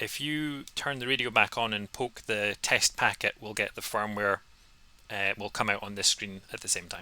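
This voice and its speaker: A man with a fairly low pitch, ordinary pitch variation and a bright, sharp tone. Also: moderate pace. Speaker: amateur radio operator demonstrating software. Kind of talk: tutorial over a call. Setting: video call.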